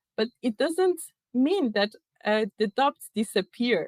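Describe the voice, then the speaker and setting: A woman with a non-native accent speaks fairly slowly at a fairly high pitch, her intonation lively and the sound dry and close with no echo. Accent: non-native speaker. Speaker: keynote speaker at tech event. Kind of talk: keynote talk. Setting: virtual event. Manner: hesitant, many fillers.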